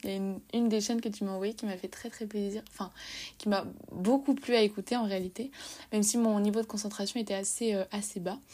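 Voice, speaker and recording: A woman's dark, mellow voice at medium pitch, fairly quick and fairly even in intonation, in a very clean recording with a silent background. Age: 20s. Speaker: podcast host and social media writer. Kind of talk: casual monologue. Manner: halting.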